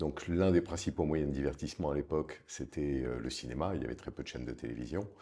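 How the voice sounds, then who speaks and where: A man with a very deep, low pitch, dark and mellow tone, vocal fry, ordinary pitch variation and a fairly quick pace. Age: 60s. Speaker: film producer and investor. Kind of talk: interview conversation. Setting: office.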